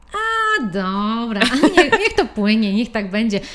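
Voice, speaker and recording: A woman's fairly high-pitched, animated voice over noticeable background noise. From Poland, Włocławek. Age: 30s. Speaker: stylist. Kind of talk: casual chat.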